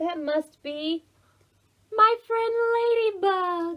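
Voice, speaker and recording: A squeaky, extremely high-pitched put-on character voice from a woman, drawn out at a very slow pace. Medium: read story.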